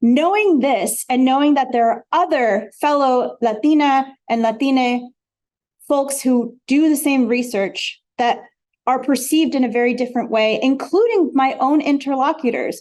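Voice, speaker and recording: At a moderate pace, a woman with a high pitch speaks with ordinary pitch variation and very even loudness. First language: Spanish. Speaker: academic researcher, panelist. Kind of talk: academic panel talk.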